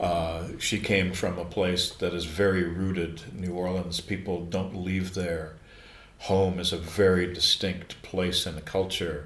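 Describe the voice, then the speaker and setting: In a room with audible echo, a man with an American accent speaks at a fairly slow pace in a very deep, low, monotone and flat voice. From US Midwest, Chicago. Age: 70s. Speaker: screenwriter and former radio broadcaster. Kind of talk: podcast interview. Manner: halting, frequent repetitions.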